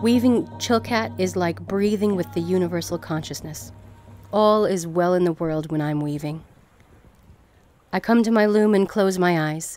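A woman talks at a moderate pace with lively intonation and a fairly low pitch. Music plays in the background. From Alaska. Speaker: Chilkat and Ravenstail weaver and teacher. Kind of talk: artist statement.

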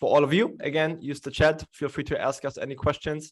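Over a quiet background, a man keeps a moderate pace and his intonation stays fairly level. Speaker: webinar host. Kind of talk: webinar host introduction. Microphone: studio mic.

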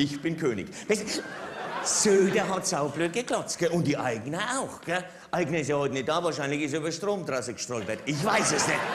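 Speech moves at a moderate pace. Noticeable noise is heard in the background. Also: man. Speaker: stand-up comedian. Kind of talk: political cabaret monologue. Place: stage. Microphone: headset.

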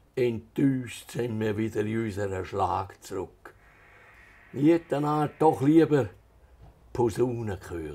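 A man's dark, mellow, medium-pitched voice in a strong Swiss German accent, with lively intonation, a very slow pace and long, frequent pauses. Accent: Altstätten Swiss German dialect, strong. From Switzerland, Altstätten (St. Gallen Rheintal); Switzerland. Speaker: author; interviewee. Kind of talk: reading aloud; interview. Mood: calm, storytelling. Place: home room. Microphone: lapel.

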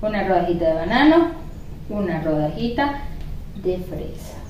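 With audible room echo, a woman with a fairly low pitch talks at a moderate pace using big pitch swings.

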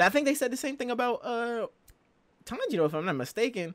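Speaking at a fairly quick pace with very wide pitch swings, a man is heard in a dry recording with no echo. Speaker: anime reactor. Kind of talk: reaction commentary. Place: home room.

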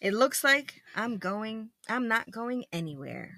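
A woman puts on a character voice, bright and sharp in tone and fairly high in pitch. She speaks at a slow pace with big pitch swings.

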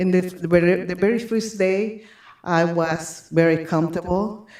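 Audible room echo surrounds a woman who talks at a fairly slow pace in a fairly low pitch with fairly even intonation. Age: 60s. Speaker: public commenter at school board meeting. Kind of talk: public comment. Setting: public meeting. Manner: halting.

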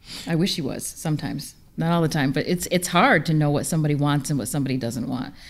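A woman with an American accent, very deep and low in pitch, at a very fast pace with ordinary pitch variation. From upstate New York. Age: 40s. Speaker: business consultant. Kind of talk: panel discussion. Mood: warm, relaxed, smiling. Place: hall. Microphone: studio mic.

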